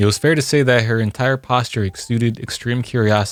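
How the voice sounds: Fairly even intonation in a natural reading voice.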